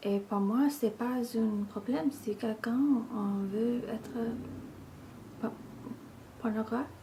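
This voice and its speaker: A woman speaks very slowly at a fairly high pitch with fairly even intonation. Her pauses are long and frequent. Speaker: ASMR video creator. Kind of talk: casual ramble to camera.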